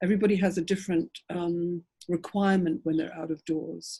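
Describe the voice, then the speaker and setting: Her fairly low, somewhat breathy voice keeps a fairly even intonation on a very clean recording with a silent background. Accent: English. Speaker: author. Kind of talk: panel discussion. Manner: halting.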